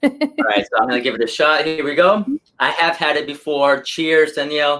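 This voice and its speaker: A man with a fairly high pitch talks at a moderate pace, his pitch varying in an ordinary way. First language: not English. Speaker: YouTuber, comic book collector. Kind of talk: casual chat. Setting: livestream.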